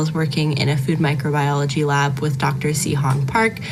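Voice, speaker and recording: A woman with an American accent is heard with audible room echo and noticeable background noise. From Northern California. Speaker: university student, scholarship recipient. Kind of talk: prepared thank-you speech.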